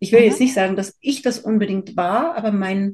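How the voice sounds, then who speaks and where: With ordinary pitch variation and a moderate pace, a woman talks in a somewhat breathy voice. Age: 50s. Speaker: birth photographer. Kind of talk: interview.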